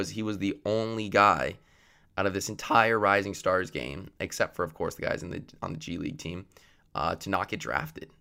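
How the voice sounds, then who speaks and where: A man speaks at a fairly quick pace with a bright, sharp tone. The recording is very clean, with a silent background. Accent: Canadian. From Canada. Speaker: student podcast host. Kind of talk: solo sports commentary podcast.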